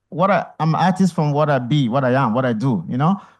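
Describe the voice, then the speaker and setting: An unremarkable speaking voice from a man, fairly high in pitch with ordinary pitch variation, at a fairly quick pace over a quiet background. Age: 50s. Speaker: artist and photographer. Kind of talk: on-stage conversation, audience Q&A.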